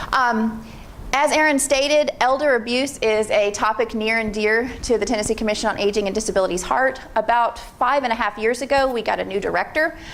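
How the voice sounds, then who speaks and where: Speaking at a fairly quick pace, a woman with an American accent uses a fairly high voice with ordinary pitch variation. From Pennsylvania. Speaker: state aging agency program manager. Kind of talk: presentation to an audience. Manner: fast; informal.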